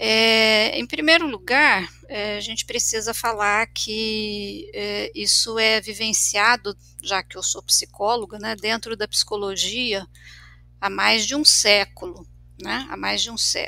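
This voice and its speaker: The speaker is a woman with a fairly high pitch and a bright, sharp tone. She goes at a very slow pace with ordinary pitch variation. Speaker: clinical psychologist. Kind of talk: casual discussion podcast. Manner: frequent fillers and repetitions.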